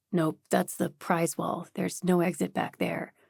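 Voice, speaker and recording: A woman puts on a raspy character voice at a fairly low pitch. She keeps a moderate pace. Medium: read story. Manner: playful, easygoing.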